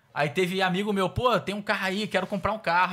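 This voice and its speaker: Bright, sharp, animated male voice against a quiet background. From Rio de Janeiro. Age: 20s. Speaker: car salesman. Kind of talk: casual interview. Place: studio. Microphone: studio mic.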